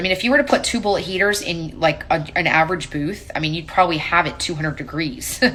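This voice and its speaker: A woman speaking at a fairly quick pace. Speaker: paint company tech presenter. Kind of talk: live stream tech Q&A. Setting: live stream. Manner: fast; casual.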